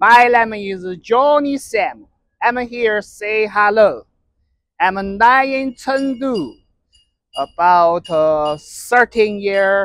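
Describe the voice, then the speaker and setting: A man with a Chinese accent speaks at a high pitch and a very slow pace. His intonation is lively, and the recording is very clean with a silent background. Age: 30s. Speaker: vlogger. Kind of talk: casual vlog. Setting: outdoors and in a restaurant. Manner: halting.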